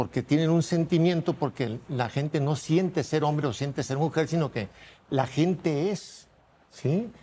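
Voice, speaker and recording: A man speaks fairly slowly in a fairly high, dark and mellow voice with ordinary pitch variation. The recording is very clean, with a silent background. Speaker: conservative family-group spokesman. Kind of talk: heated debate.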